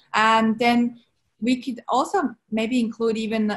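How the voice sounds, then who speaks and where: Somewhat breathy, a woman with a Swiss accent speaks at a fairly high pitch with fairly even intonation against a quiet background. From Switzerland. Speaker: entrepreneur, brand strategist. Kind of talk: interview answer. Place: home room. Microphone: video call.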